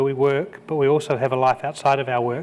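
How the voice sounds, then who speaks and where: With a New Zealand accent, this man talks fairly quickly in a fairly high pitch for a man. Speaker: conference keynote speaker. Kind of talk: keynote speech. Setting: conference stage with audience. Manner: halting, with repeated words.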